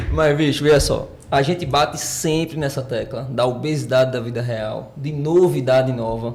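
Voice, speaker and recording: With audible room echo and noticeable background noise, a man talks at a moderate pace with hardly any pauses and ordinary pitch variation. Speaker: podcast co-host, personal trainer. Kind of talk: casual podcast chat. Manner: animated.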